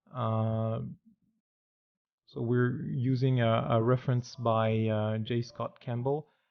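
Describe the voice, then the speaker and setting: Slowly and in a flat monotone, a man at a medium pitch speaks with a French accent. He leaves long, frequent pauses. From France. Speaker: 3D artist. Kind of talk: tutorial. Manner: halting, many fillers.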